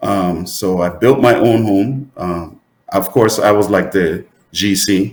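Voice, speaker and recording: This man has a fairly low pitch. He speaks at a very slow pace. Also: ordinary pitch variation. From US Virgin Islands and Saint Lucia. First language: Saint Lucian Creole. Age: 50s. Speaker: entrepreneur and lab supervisor. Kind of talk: interview. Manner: hesitant, many fillers and repetitions.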